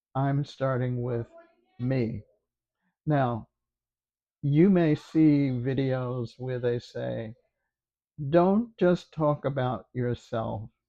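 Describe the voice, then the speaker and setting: Speaking very slowly in a dark, mellow tone, a man leaves long, frequent pauses. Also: medium pitch for a man, ordinary pitch variation. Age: 90s. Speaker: YouTuber, former teacher. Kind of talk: casual talk to camera. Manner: slow, hesitant.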